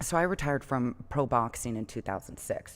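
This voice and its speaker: With an American accent and vocal fry, a woman speaks at a moderate pace in a very deep, low pitch. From Los Angeles, California. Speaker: professional boxer. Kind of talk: interview.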